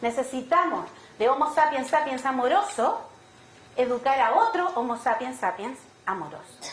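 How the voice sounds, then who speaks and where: A woman's high voice has an animated tone and very wide pitch swings, heard with audible room echo and noticeable background noise. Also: moderate pace. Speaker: education neuroscience expert. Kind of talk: conference talk. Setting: auditorium with audience.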